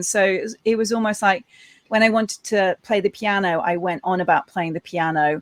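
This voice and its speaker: Dry, close sound with no echo, a woman's medium pitch and ordinary pitch variation. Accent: Lancashire. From northern England, Preston. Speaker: cybersecurity entrepreneur and author. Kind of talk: interview.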